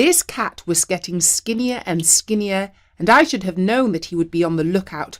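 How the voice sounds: The clip has a natural reading voice. The delivery reads aloud in that manner.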